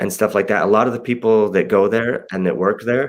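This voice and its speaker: A man talks at a moderate pace and a medium pitch. He has an ordinary speaking voice. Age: 40s. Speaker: tattoo artist. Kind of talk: casual chat.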